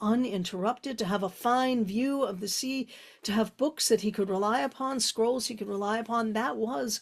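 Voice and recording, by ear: Reading aloud in a natural voice, pitch moving in an ordinary way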